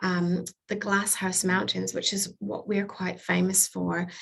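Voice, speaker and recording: Speaking at a fairly slow pace, a woman sounds somewhat breathy. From Canada, Vancouver. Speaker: tourism representative. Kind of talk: destination presentation to travel audience. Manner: upbeat.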